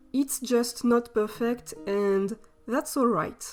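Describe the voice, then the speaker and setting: A fairly high-pitched woman with a non-native accent at a very slow pace, music in the background. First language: non-native English speaker. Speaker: artist. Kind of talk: art process voiceover. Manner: casual, slightly hesitant.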